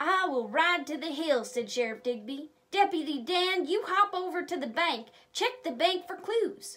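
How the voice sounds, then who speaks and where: Her pitch swings very widely and sits extremely high. A woman is doing a put-on character voice. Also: moderate pace. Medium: read story. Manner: authoritative, explanatory.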